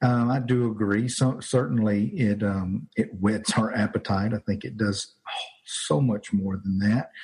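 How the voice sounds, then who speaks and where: The speaker has an American accent and a somewhat breathy, dark, mellow tone with ordinary pitch variation. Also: man. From Louisiana, US South. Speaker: pastor. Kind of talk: casual chat. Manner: halting, many fillers.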